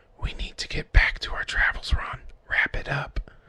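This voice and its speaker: The speaker whispers in a raspy, put-on character voice. The pace is moderate. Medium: cartoon. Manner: calm, coaxing.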